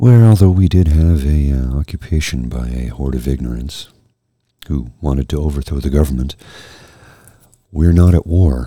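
With a dark, mellow tone and a very deep, low pitch, a man speaks somewhat breathily at a moderate pace, using ordinary pitch variation and long, frequent pauses. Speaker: podcast host presenting jazz music. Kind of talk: casual monologue.

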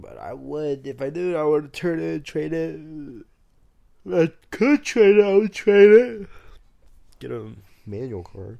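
The speech moves at a moderate pace with long, frequent pauses. Loudness swings widely over a quiet background. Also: man. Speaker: podcast co-host. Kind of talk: casual chat. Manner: casual, joking.

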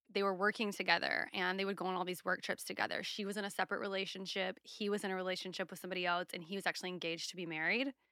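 A woman's very fast speech with a slight Southern US accent and monotone, flat intonation. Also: medium pitch for a woman, very clean recording, silent background. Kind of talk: casual chat. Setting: studio.

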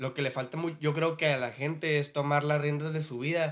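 A fairly high-pitched man at a fairly quick pace, on a very clean recording with a silent background. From Mexicali, Baja California. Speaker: rapper. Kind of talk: casual chat.

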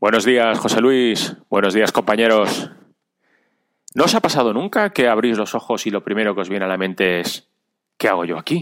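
On a very clean recording with a silent background, a man in an ordinary speaking voice talks at a moderate pace with a fairly low pitch and ordinary pitch variation. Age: 40s. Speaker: amateur runner and cyclist. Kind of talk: recorded personal story.

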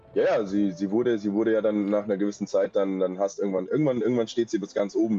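A man's dark, mellow voice at a very fast pace with fairly even intonation. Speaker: stalking victim telling his story. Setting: remote call with poor mic.

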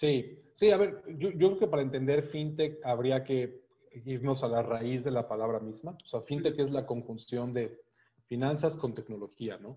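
Moderate pace and medium pitch from a man, with ordinary pitch variation. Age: 30s. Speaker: fintech association executive. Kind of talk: interview. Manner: halting, many repetitions and fillers.

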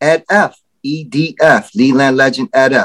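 Dry and close with no echo, a man's voice comes through in a New York accent. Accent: New York City. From Bronx, New York. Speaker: entrepreneur. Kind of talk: casual chat.

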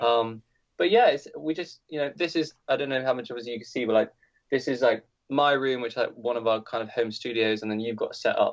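In a British accent, a man speaks at a fairly quick pace and medium pitch with ordinary pitch variation. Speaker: musician. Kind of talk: casual chat.

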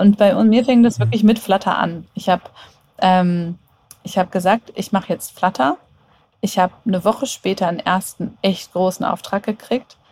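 Somewhat breathy and of medium pitch, a woman speaks at a moderate pace with ordinary pitch variation. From Germany, Hannover. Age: 30s. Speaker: app developer and agency owner. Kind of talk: casual interview.

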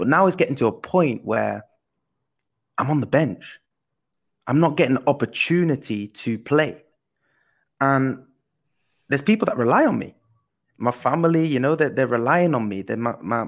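An energetic man at a medium pitch, with lively intonation, a moderate pace and long, frequent pauses, on a very clean recording with a silent background. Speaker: professional footballer and co-host. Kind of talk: casual chat.

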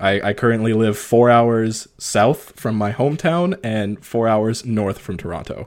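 An unremarkable speaking voice from a man with a Canadian accent, medium pitch, ordinary pitch variation and hardly any pauses. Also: fairly slow pace. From northern Ontario, Canada. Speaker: podcast host. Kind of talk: casual interview chat.

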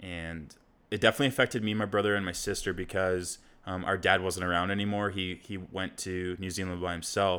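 A man with a very deep, low pitch and a bright, sharp tone talks at a fairly quick pace with monotone, flat intonation. The recording is very clean, with a silent background. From South Africa, moved to UK at six. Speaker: podcast co-host. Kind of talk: casual chat.

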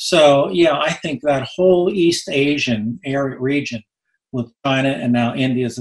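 This man sounds somewhat breathy. His recording is dry and close, with no echo. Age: 70s. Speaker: economist. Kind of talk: radio interview.

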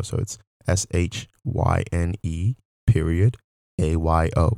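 Recorded very cleanly with a silent background and a dry, close sound with no echo, a man talks in a very deep, low pitch with ordinary pitch variation. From Nigeria. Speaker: podcast host. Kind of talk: casual monologue.

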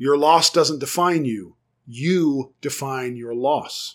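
A man with an American accent talks in a plain, everyday voice, fairly high-pitched with ordinary pitch variation. The recording is very clean, with a silent background. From United States. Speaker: therapist. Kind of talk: solo podcast talk on psychology.

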